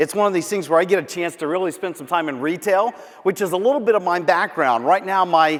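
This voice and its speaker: A man's high-pitched, animated voice with an American accent over noticeable background noise. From Central Florida. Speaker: professional speaker. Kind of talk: keynote speech. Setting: stage with audience. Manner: fast.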